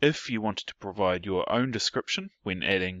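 This is a man speaking with a New Zealand accent. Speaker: IT professional. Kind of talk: technical tutorial narration.

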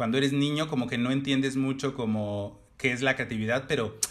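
This man talks very fast, his voice sitting at a medium pitch. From Mexico, Oaxaca. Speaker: fashion designer. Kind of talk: casual chat.

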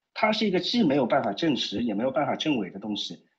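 A man talks at a very fast pace with vocal fry. His pitch swings very widely. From Shanghai. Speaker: caller. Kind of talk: casual chat. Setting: phone call. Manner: halting.

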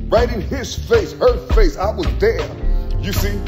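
The speech moves at a fairly slow pace over clear music in the background. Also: man. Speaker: self-filming vlogger. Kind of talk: casual spiritual monologue to camera. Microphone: phone near.

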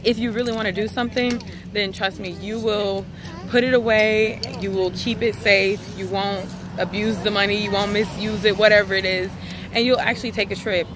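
At a fairly quick pace, a woman speaks with fairly even intonation, the sound dry with no echo and noticeable background noise. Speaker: vlogger. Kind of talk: casual vlog chat. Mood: earnest, encouraging. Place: street. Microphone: phone near.

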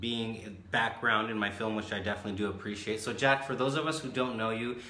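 In a room with audible echo, a man speaks at a fairly quick pace with fairly low pitch and fairly even intonation.

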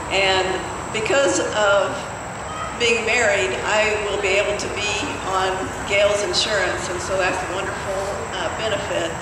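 The speech goes at a fairly slow pace with long, frequent pauses, audible room echo, and loud background noise. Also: woman. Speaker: rally speaker, same-sex marriage advocate. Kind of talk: rally speech. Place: stage. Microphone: camera far.

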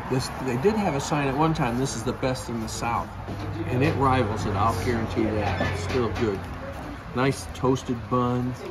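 Music plays behind a man whose pitch varies in an ordinary way. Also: moderate pace. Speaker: food reviewer. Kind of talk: casual vlog chat. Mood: enthusiastic, relaxed. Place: cafe. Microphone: phone near.

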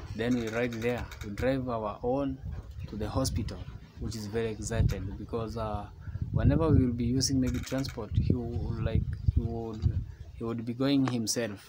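A man at a moderate pace with ordinary pitch variation, over loud background noise. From Kenya. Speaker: travel vlogger. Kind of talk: casual vlog narration. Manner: animated. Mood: earnest, grateful. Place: home room. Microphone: phone near.

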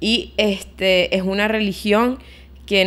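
A woman speaks with a Venezuelan accent and ordinary pitch variation. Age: 20s. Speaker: podcast co-host. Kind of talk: casual chat. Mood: reflective, personal. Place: home room. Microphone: studio mic.

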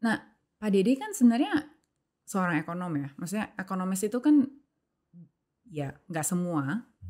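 This woman's words come at a fairly quick clip. Behind her, the background stays quiet. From Indonesia. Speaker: podcast host. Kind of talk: casual interview chat; interview question. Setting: studio room. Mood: calm, curious. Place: studio. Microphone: studio mic.

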